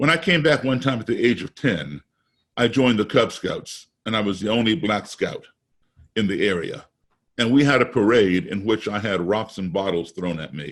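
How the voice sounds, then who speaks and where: Here is a man with a plain, everyday voice and an American accent. He talks at a moderate pace with lively intonation. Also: fairly low pitch for a man. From US, raised abroad. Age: 60s. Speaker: musician. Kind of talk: webinar talk.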